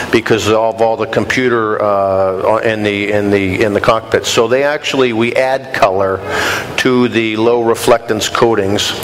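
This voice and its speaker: A man talks at a fairly slow pace with fairly even intonation, with audible room echo and noticeable background noise. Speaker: glass industry executive giving a talk. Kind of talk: lecture Q&A answer. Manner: loud.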